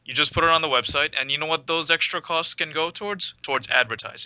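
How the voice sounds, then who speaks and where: Speaking with a New York accent, a man has a bright, sharp tone. He moves at a fairly quick pace with ordinary pitch variation. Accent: New York American. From New York City. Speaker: podcast co-host. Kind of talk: casual chat.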